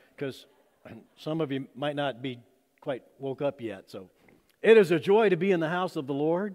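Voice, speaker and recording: Light background noise is audible. A man speaks at a moderate pace with lively intonation. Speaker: pastor. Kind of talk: sermon. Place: church. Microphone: podium.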